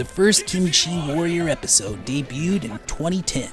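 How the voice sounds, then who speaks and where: An American accent at a moderate pace, with music in the background. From United States. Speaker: voice actor. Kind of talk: documentary narration.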